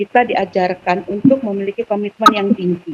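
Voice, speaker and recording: A woman speaks in a normal speaking voice. Her pace is fairly slow, with ordinary pitch variation. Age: 50s. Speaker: Islamic student organization alumna. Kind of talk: talk show interview.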